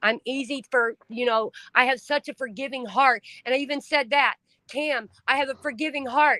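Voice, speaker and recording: Raising and projecting her high-pitched voice, a woman speaks with a bright, sharp tone and fairly even intonation, in a dry, close sound with no echo. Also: moderate pace. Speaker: livestream host, trafficking survivor advocate. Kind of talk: casual chat. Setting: livestream. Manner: loud; emotional, expressive.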